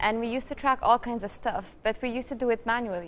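A woman speaks at a fairly quick pace. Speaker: guest. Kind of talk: interview answer. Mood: cheerful, enthusiastic. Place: studio. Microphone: lapel.

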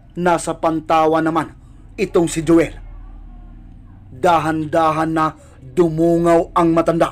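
A man talks in a high voice at a fairly slow pace. His intonation stays monotone and flat. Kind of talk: horror story narration.

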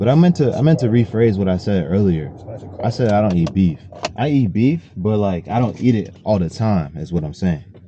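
The voice has a dark, mellow tone and very wide pitch swings at a fairly quick pace. The sound is dry with no echo, though there is noticeable background noise. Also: man, fairly low pitch for a man. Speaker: vlogger. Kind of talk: casual vlog chat. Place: car. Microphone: phone near.

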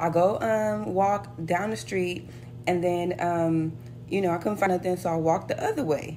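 Over light background noise, a woman with a fairly low pitch speaks in an animated tone. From United States. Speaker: flight attendant vlogger. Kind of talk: casual vlog storytelling, retelling an airport anecdote. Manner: animated, sassy, conversational. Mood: relaxed, mildly annoyed. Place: home room. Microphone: phone near.

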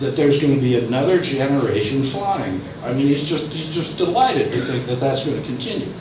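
A man is speaking with audible room echo. Noticeable background noise runs under his voice. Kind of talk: lecture.

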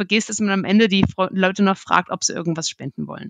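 A woman at a medium pitch, talking at a very fast pace with fairly even intonation, in a dry, close sound with no echo against a quiet background. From Germany. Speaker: market research analyst. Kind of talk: podcast interview. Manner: halting, many repetitions and fillers.

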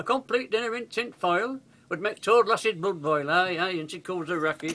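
Speaking at a moderate pace in a Yorkshire accent, a man uses a high pitch with ordinary variation and a bright, sharp tone. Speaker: grandfather reciting poem. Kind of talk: dialect poetry reading. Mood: warm, humorous, nostalgic. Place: home room. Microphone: webcam.

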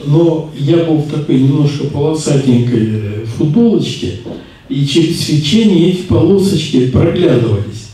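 A man's fairly high voice at a very slow pace, with lively intonation and strong room echo. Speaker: spiritual teacher. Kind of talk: lecture. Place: classroom.

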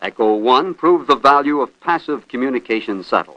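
A man's medium-pitched voice, bright and sharp in tone, with lively intonation at a moderate pace in a dry, close sound with no echo. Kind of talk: 1960s space documentary narration. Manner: formal, measured, authoritative newsreel-style delivery.

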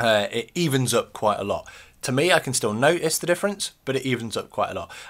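Very fast speech with lively intonation over a quiet background. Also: man. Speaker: beard-care YouTuber. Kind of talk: video tutorial. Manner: casual, uses filler ums. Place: home room. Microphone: webcam.

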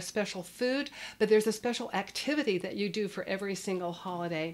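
This woman speaks at a very fast pace. Her pitch varies in an ordinary way. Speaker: parenting educator. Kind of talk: educational talk to camera. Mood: warm, nostalgic. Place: studio.

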